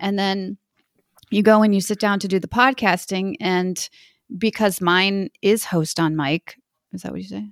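An unremarkable speaking voice from a woman, medium pitch with ordinary pitch variation, moderate pace, dry and close with no echo, in a very clean recording with a silent background. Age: 40s. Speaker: podcaster and amateur actor. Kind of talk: casual interview chat.

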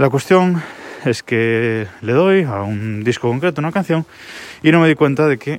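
With lively intonation, a man speaks at a moderate pace in an ordinary speaking voice. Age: 30s. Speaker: podcaster. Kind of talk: casual monologue.

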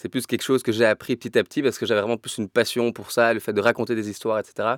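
In a very clean recording with a silent background and a dry, close sound free of echo, a man of medium pitch talks at a very fast pace in a monotone, flat delivery. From Brussels, Belgium. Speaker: videographer and entrepreneur. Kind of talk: interview. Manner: halting, many fillers.

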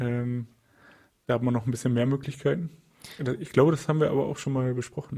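A man's somewhat breathy, dark and mellow voice at medium pitch, fairly even in intonation, with long, frequent pauses. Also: fairly quick pace. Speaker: software developer podcast co-host. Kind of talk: casual tech chat.

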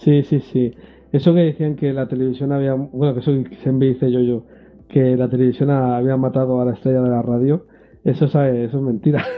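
Fairly quick and medium-pitched, this man has a plain, everyday voice. His intonation stays fairly even. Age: 30s. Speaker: system administrator and blogger. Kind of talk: interview.

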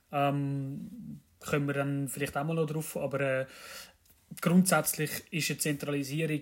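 A man's fairly high voice at a moderate pace with fairly even intonation, on a very clean recording with a silent background. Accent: Zurich. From Switzerland, canton of Zurich. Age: 30s. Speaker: train driver, podcast guest. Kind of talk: casual chat.

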